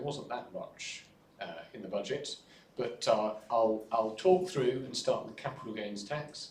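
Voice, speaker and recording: The voice carries ordinary pitch variation, with audible room echo around it. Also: man, big swings in loudness. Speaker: tax lawyer presenting at a budget briefing. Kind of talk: presentation. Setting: hybrid in-person and online event with audience.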